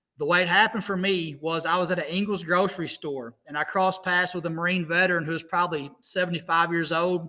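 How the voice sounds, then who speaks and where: In an American accent, a man talks with hardly any pauses. His high-pitched voice has a bright, sharp tone and monotone, flat intonation. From US Midwest, southeast Missouri. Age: 40s. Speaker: motivational speaker. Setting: video call.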